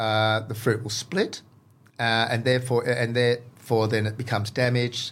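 An Australian-accented man at medium pitch, monotone and flat, at a moderate pace, on a very clean recording with a silent background. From Western Australia (Exmouth). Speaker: farmer and garden enthusiast, former chef. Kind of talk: casual interview.

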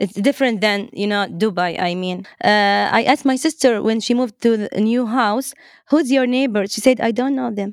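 A woman with an Arabic accent and fairly high pitch speaks at a moderate pace with ordinary pitch variation, in a very clean recording with a silent background. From Saudi Arabia, Eastern Province. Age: 30s. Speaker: Arabic language teacher. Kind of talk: casual interview chat. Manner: halting, many fillers.

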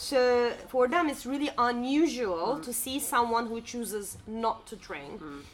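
A woman with a high voice talks at a moderate pace against noticeable background noise. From Turkey. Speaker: podcast co-host. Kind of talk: casual chat. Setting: cafe.

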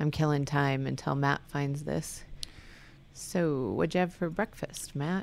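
The woman's pitch is very deep and low. She speaks at a very slow pace. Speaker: podcast co-host. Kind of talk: casual chat. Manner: animated.

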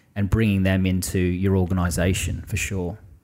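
A man with an Australian accent and a fairly low pitch talks at a moderate pace in a very clean recording with a silent background. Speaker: army veteran and business owner. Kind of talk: casual chat.

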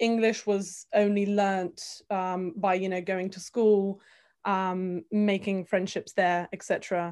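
At a very slow pace, a woman speaks at a medium pitch in a flat monotone. The background is quiet. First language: Bulgarian. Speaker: multilingual guest. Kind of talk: casual chat.

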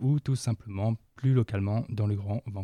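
Recorded with a dry, close sound, no echo and a quiet background, a man speaks at medium pitch and a moderate pace, his tone dark and mellow and his intonation fairly even. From northern France. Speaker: volunteer podcast editor. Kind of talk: self-introduction.

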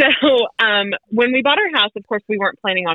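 A woman with an unremarkable speaking voice and an American accent talks at a fairly quick pace with lively intonation. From North Carolina, Wilmington. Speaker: mother of three, podcast guest. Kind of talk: casual interview chat.

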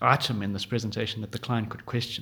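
Here a man is talking. There is a somewhat breathy quality to his voice. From South Africa, Johannesburg. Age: 30s. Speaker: podcast host. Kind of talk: solo podcast monologue. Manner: hesitant with fillers.

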